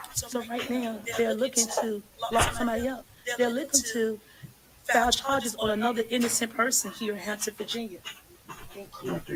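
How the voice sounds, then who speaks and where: A woman speaks loudly at a moderate pace in a fairly high, flat monotone, with long, frequent pauses and noticeable background noise. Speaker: citizen journalist livestreamer. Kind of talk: livestream talk.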